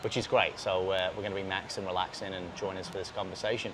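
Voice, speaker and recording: Noticeable background noise around a man talking fairly quickly. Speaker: podcast host. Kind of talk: casual chat. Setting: outdoors.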